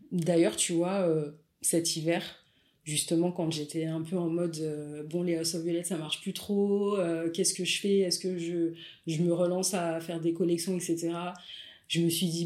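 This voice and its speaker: Her voice sits fairly low for a woman. She speaks at a fairly slow pace with monotone, flat intonation. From Paris suburbs, France. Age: 40s. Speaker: photographer and content creator. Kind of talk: casual interview.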